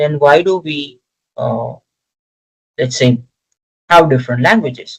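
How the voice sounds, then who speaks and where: A Gujarati accent at a fairly slow pace, with long, frequent pauses. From India, Gujarat. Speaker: lecturer. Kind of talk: lecture. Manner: hesitant with many fillers.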